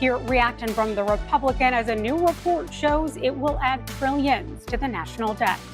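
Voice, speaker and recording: Music plays in the background as the speaker talks with an American accent at a moderate pace. There are hardly any pauses and ordinary pitch variation. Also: woman, high pitch for a woman. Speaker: TV news anchor and reporter. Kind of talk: local TV news anchoring and reporting. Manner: polished, newsreader delivery.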